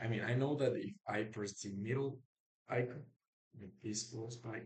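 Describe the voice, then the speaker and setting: Speaking with a non-native accent, a man uses a somewhat breathy medium-pitched voice at a fairly slow pace with fairly even intonation. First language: not English. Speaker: programmer vlogger. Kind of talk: coding screencast. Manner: halting.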